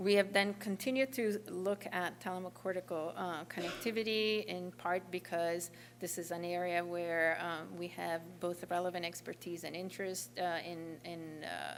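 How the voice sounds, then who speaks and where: At a moderate pace and with hardly any pauses, a woman speaks at a fairly low pitch with ordinary pitch variation. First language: not English. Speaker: neuroscience researcher. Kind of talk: lecture. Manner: halting, many fillers.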